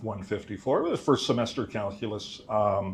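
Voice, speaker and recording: Audible room echo surrounds a man's voice. He speaks with fairly low pitch at a fairly slow pace. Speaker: mathematics instructor. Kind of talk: conference talk. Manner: loud.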